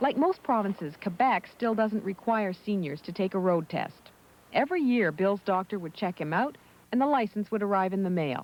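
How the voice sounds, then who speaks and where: At a moderate pace, a woman with an ordinary speaking voice talks at medium pitch with lively intonation. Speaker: TV reporter. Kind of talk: TV news report narration.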